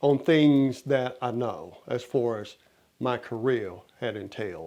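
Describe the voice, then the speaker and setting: A man speaks at a medium pitch with an American accent. His pace is fairly slow, and it's an ordinary speaking voice. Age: 60s. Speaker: motivational speaker. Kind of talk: motivational talk.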